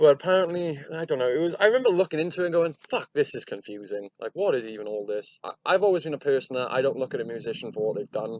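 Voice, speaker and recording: A man speaks very fast in a fairly high pitch with very wide pitch swings and hardly any pauses. The sound is dry and close, with no echo. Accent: Welsh. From Wales. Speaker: podcast host. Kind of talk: casual chat.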